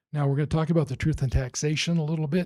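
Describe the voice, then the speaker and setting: His voice has some breathiness. The speaker is male. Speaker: school district finance official. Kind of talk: public meeting presentation. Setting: school board meeting.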